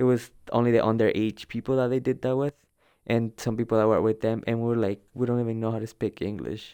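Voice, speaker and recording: A man talks very fast with a Spanish accent, at medium pitch in a dark, mellow tone. His intonation is flat and monotone, and the sound is dry and close with no echo. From El Salvador. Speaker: undocumented immigrant student. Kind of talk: personal testimony interview.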